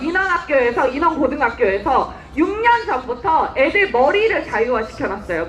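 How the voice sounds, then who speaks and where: A woman at a moderate pace with very wide pitch swings, against noticeable background noise. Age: 20s. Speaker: political activist. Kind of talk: political rally speech. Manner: impassioned, shouting slogans.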